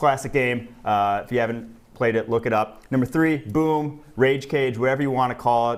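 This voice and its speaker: With a strong Wisconsin accent, a man talks at a moderate pace at medium pitch with ordinary pitch variation. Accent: thick Wisconsin. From US Midwest, Wisconsin. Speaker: sports betting podcaster. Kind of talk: casual chat.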